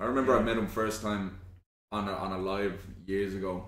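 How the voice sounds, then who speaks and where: Over light background noise and audible room echo, a man speaks in a monotone, flat intonation. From Ireland. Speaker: online content creator. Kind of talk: casual chat. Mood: relaxed, chatty. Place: home room.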